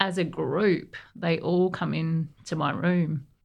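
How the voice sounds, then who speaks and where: A woman with an Australian accent speaks in a fairly low pitch, with ordinary pitch variation. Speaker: navy veteran. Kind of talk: interview.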